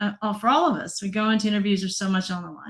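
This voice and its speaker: A woman speaks in a fairly high, somewhat breathy voice. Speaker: data analytics presenter. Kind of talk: online presentation.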